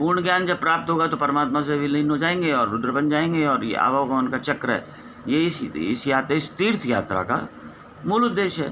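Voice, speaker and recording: Over noticeable background noise, a man speaks at a fairly high pitch with lively intonation and very even loudness. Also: moderate pace. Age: 60s. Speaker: spiritual teacher. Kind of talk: spiritual discourse.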